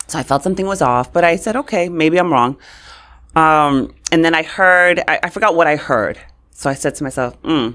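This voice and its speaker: Speaking in a New York accent at a fairly quick pace, a woman uses an animated tone and ordinary pitch variation over a quiet background. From New York, Brooklyn. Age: 40s. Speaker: communications expert; podcast guest. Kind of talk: interview. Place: studio. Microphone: studio mic.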